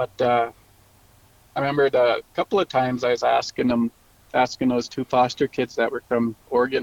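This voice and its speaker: Recorded with a dry, close sound and no echo, a man speaks at a moderate pace with medium pitch and ordinary pitch variation. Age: 40s. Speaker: paranormal storyteller, host's brother. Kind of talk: casual storytelling interview.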